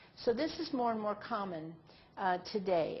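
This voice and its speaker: A plain, everyday voice from a woman, medium in pitch, moderate in pace, and ordinary in pitch variation. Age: 60s. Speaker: nurse trainer. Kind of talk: online training presentation. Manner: conversational.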